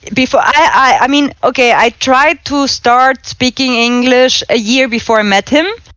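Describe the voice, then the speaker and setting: In a slight German accent, a woman speaks at a moderate pace with hardly any pauses and very even loudness. Her high voice has a bright, sharp tone and ordinary pitch variation. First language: German and Spanish. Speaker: exchange student guest. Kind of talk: casual chat.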